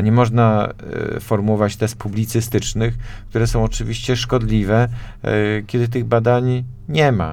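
With audible room echo, a man of medium pitch talks at a moderate pace, his intonation fairly even, his loudness very even and his pauses long and frequent. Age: 40s. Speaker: politician. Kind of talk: radio interview. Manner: halting.

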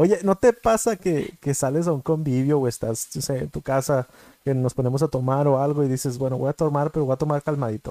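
With a Mexican accent, a man speaks at a fairly quick pace in a dark, mellow tone, his pitch fairly high with ordinary variation, in a dry, close sound with no echo. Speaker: podcast co-host. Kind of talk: casual chat.

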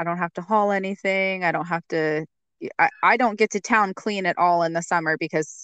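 A woman with a plain, everyday voice and an American accent, medium in pitch, at a fairly quick pace with fairly even intonation, in a dry, close sound with no echo and a quiet background. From eastern Washington state. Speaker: homesteader. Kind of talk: casual chat.

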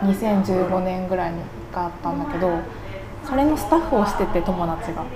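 A woman's medium-pitched voice at a moderate pace with lively intonation, amid noticeable background noise and audible room echo. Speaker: cook at a local eatery. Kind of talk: casual interview chat.

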